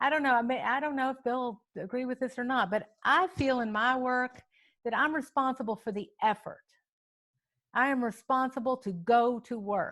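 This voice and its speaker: With an American accent, a woman speaks at a high pitch and a moderate pace with ordinary pitch variation. The recording is very clean with a silent background. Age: 60s. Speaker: farm advocate, nonprofit director. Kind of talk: panel conversation. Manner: halting, many fillers.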